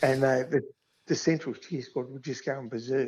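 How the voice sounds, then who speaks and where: With an Australian accent, a man speaks at a fairly high pitch. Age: 60s. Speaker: football club groundskeeper. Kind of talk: casual interview chat.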